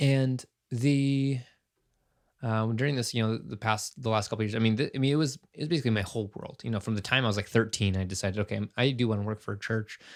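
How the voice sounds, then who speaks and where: A very fast pace with ordinary pitch variation. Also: man, medium pitch for a man. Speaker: podcast host, former church worker. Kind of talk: casual monologue. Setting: recording in a closet at home. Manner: halting, many fillers.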